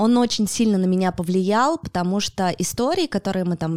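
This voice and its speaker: In a very clean recording with a silent background and a dry, close sound with no echo, a woman uses an ordinary speaking voice at a fairly low pitch, with ordinary pitch variation and a moderate pace. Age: 30s. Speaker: podcaster. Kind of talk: casual interview. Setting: studio.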